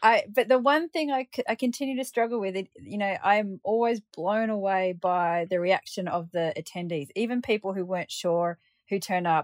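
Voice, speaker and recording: A woman with an Australian accent, lively intonation and hardly any pauses at a moderate pace, dry, close sound with no echo, quiet background. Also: medium pitch for a woman. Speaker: paraglider pilot. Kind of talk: interview.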